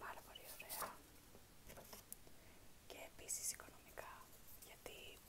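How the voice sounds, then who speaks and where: A woman talks fairly slowly while loud noise fills the background. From Greece. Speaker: ASMR creator. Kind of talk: casual talk to camera, unboxing. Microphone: phone near.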